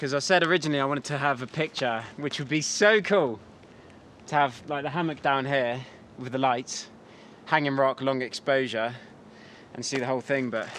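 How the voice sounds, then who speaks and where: A man with an English accent, medium pitch, ordinary pitch variation and a fairly quick pace. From England. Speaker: photography vlogger. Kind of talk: vlog narration. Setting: outdoors.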